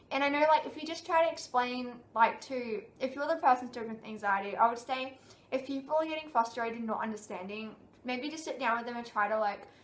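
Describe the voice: Speech runs at a fairly quick pace with ordinary pitch variation. There is audible echo from the room. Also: woman, fairly high pitch for a woman.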